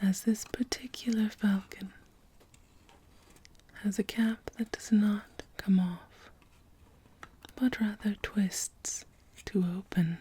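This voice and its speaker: Whispering soft-spoken and somewhat breathy, a woman talks at a very slow pace with very even loudness and long, frequent pauses. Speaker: perfume counter consultant (role play). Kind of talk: ASMR role play, perfume store consultant talking to a customer. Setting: ASMR recording with bottle, tapping and spraying sounds. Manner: soft-spoken, whispered.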